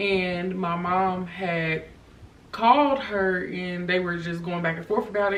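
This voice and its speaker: A woman speaks with fairly even intonation at a medium pitch. Audible room echo surrounds her voice. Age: 20s. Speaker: vlogger. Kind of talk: personal testimony. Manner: hesitant, many fillers.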